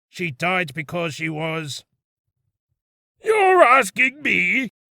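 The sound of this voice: A man puts on a character voice that is raspy and high-pitched, with lively intonation. He speaks at a very slow pace in a dry, close sound with no echo.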